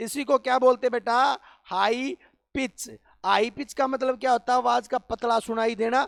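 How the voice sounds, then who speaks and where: An animated tone comes through in a dry, close recording with no echo. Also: man, extremely high pitch for a man, very clean recording, silent background. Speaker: teacher. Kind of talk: lecture. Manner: animated, rhetorical questioning.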